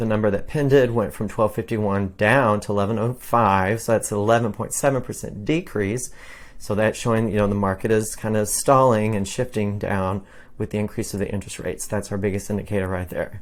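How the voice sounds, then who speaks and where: At a fairly quick pace, a man with an unremarkable speaking voice talks at a fairly low pitch with fairly even intonation. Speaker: realtor. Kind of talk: market update monologue.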